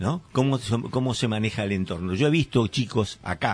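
Male speaker at a moderate pace, with ordinary pitch variation. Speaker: community radio host. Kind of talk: casual chat. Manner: halting, many fillers and repetitions.

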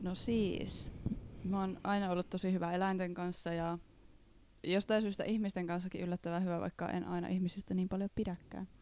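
A woman at medium pitch with a dark, mellow tone, moderate pace and monotone, flat intonation. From Northern Ostrobothnia, Finland (Reisjärvi). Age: 20s. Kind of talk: casual chat.

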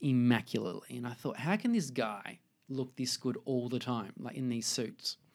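At a moderate pace, a speaker with an Australian accent comes through on a very clean recording with a silent background. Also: man. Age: 30s. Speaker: fashion designer. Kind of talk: casual interview. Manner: halting.

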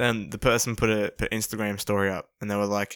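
The background is silent in this very clean recording. The male speaker has an Australian accent. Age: young. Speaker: podcast co-host. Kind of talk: casual chat.

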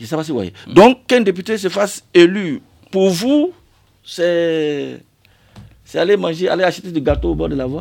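On a very clean recording with a silent background, a man speaks at a moderate pace in a high pitch with lively intonation. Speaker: member of parliament. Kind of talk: radio interview. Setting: radio studio.

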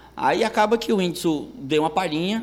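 A man with an unremarkable speaking voice at a fairly quick pace, with ordinary pitch variation. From Brazil, Ceará (Itarema, countryside). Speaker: stand-up comedian. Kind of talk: casual chat.

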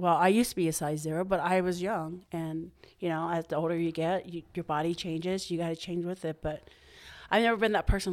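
A plain, everyday voice from a woman, fairly low in pitch with fairly even intonation, on a very clean recording over a silent background. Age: 50s. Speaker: boutique owner. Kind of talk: casual chat.

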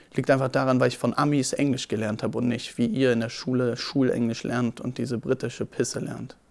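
A man's medium-pitched, monotone, flat delivery at a fairly quick pace with hardly any pauses, over noticeable background noise. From Berlin. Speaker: photographer and videographer. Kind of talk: casual storytelling.

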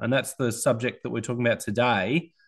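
This man talks with an Australian accent. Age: 30s. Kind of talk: casual chat.

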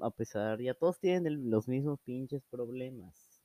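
A man with a Mexican accent, dark and mellow in tone, at a medium pitch with ordinary variation, fairly slow, in a dry, close sound with no echo. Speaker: amateur podcaster. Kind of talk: casual monologue. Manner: animated; halting.

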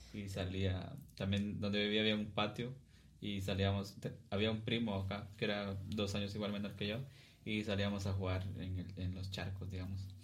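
In a room with audible echo, a man speaks in a fairly low, somewhat breathy voice with flat, monotone intonation. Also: moderate pace. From Guatemala (Cuilapa, Santa Rosa). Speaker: podcast host and musician. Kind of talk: casual chat.

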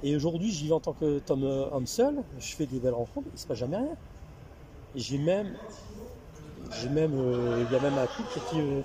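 With noticeable background noise behind him, a man with a fairly high pitch speaks with ordinary pitch variation and long, frequent pauses. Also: moderate pace. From northern France, Lille. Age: 40s. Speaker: office worker sharing libertine lifestyle experiences. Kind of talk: casual chat over wine, storytelling. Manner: halting, repetitive.

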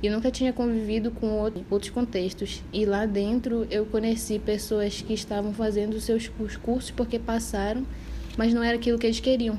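Over noticeable background noise, a woman speaks in a fairly high pitch with monotone, flat intonation and very even loudness. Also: moderate pace. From Parintins, Amazonas, Brazil. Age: 20s. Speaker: podcast co-host, medical school applicant. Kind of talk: casual chat.

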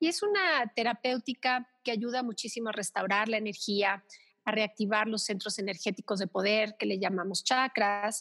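On a very clean recording with a silent background and a dry, close sound with no echo, a woman speaks at a fairly high pitch and a moderate pace, her tone bright and sharp, with ordinary pitch variation. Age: 50s. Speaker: thanatologist and Reiki therapist. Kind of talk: interview conversation.

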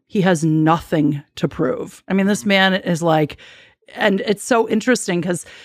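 With an American accent, a woman talks at a moderate pace in an ordinary speaking voice of medium pitch, recorded very cleanly over a silent background. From Chicago, US Midwest. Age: 40s. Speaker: spiritual guide and mentor. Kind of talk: interview.

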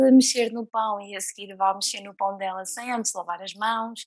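A woman with an unremarkable speaking voice talks at a fairly high pitch. The sound is dry and close with no echo. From Portugal, near Leiria. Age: 20s. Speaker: guest with coeliac disease. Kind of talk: casual chat.

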